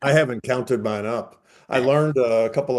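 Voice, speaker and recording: This man talks at a fairly quick pace in an unremarkable speaking voice, with medium pitch and fairly even intonation. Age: 60s. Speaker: retired HR professional and fundraiser. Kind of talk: casual interview chat.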